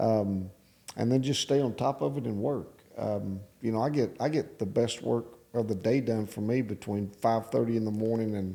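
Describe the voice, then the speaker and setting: With a West Texas accent, a man speaks at a moderate pace in a dark, mellow tone. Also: medium pitch for a man, ordinary pitch variation. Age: 60s. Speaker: real estate developer and business owner. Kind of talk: casual interview. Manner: halting.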